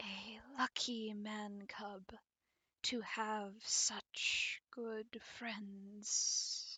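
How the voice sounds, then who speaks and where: A woman puts on a character voice with a fairly high pitch. Her pace is very slow. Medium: read story.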